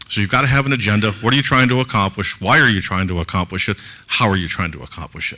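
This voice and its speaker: A man's intonation is lively. He speaks at a very fast pace. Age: 60s. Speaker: conference co-founder and business advisor. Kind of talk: conference talk.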